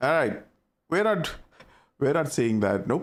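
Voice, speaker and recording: A man with a strong Indian accent speaks with very wide pitch swings. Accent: thick Indian. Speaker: gaming streamer. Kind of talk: casual chat. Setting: live stream. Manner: animated.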